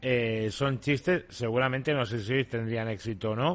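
A man's ordinary speaking voice at medium pitch, moderate pace and ordinary pitch variation. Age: 40s. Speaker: podcast host. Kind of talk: casual commentary.

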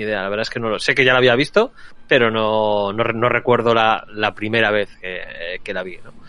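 A man at a fairly quick pace, flat and monotone in intonation, with noticeable background noise. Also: medium pitch for a man, big swings in loudness. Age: 40s. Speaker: film podcast panelist. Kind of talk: casual chat.

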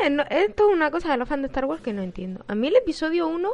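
A woman speaks very fast in a high voice with very wide pitch swings. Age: 20s. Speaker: podcast co-host. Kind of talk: casual chat.

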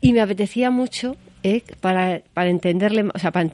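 A woman talks fairly quickly at medium pitch, with ordinary pitch variation and a dark, mellow tone. The sound is dry and close, with no echo. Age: 60s. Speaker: gallery owner. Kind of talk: interview. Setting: in the guest's gallery.

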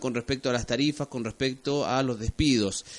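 In a plain, everyday voice, the speaker keeps a moderate pace and fairly even intonation. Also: man. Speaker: radio host. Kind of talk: casual radio interview.

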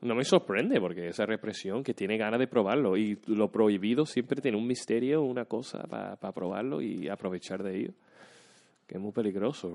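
In an ordinary speaking voice, a man talks at a fairly quick pace with fairly low pitch and ordinary pitch variation, in a dry, close sound with no echo. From US Midwest (Troy, Michigan, near Detroit). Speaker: actor. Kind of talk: casual chat.

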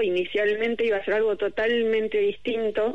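At a moderate pace, a woman speaks. Her pitch is fairly high. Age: 50s. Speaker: novelist. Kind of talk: interview. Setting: remote call.

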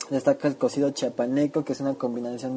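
There is noticeable background noise as a man of medium pitch talks with fairly even intonation. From Chiapas, Mexico. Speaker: food segment presenter. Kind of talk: scripted narration.

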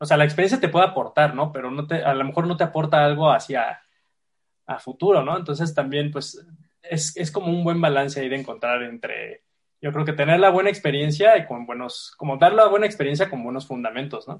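A man with a Mexican accent speaks at a fairly quick pace in a fairly high, somewhat breathy voice, with ordinary pitch variation and big swings in loudness. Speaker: podcast host. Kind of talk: casual chat.

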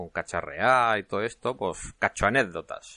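The man's tone is bright and sharp, and he speaks at a fairly slow pace. The sound is dry and close with no echo, over a quiet background. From Spain, Cartagena (Murcia). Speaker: podcast host, hobby game developer. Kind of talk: casual solo podcast monologue. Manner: hesitant, with frequent repetitions.

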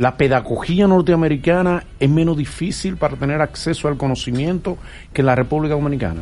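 A man talks at a fairly quick pace with a fairly high pitch. It is a normal speaking voice with ordinary pitch variation. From Dominican Republic. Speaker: radio host. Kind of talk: interview. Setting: studio.

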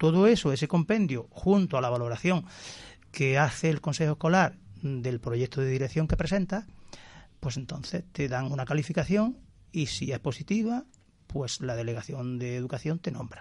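Somewhat breathy, a man with a fairly high pitch talks at a moderate pace. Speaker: school principal. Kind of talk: radio interview. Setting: radio studio.

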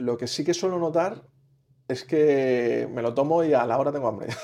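With a fairly high pitch and ordinary variation, a man speaks at a moderate pace. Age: 40s. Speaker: patient seeking nutrition advice. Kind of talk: consultation. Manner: halting.

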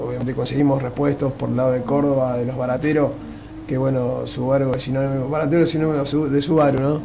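Man speaking in a monotone, flat intonation, with audible room echo and noticeable background noise. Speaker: rally driver. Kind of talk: radio interview.

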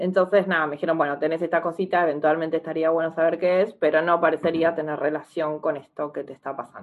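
Hardly pausing, a woman speaks at a very fast pace in a fairly low pitch with monotone, flat intonation. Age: 30s. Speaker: psychologist and stroke patient. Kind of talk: interview testimony.

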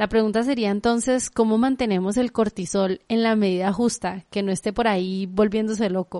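A woman's dark, mellow voice at a fairly high pitch, moderate pace, with hardly any pauses and fairly even intonation, in a dry, close recording without echo and a quiet background. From Guadalajara, Mexico. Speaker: podcast host. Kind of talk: interview.

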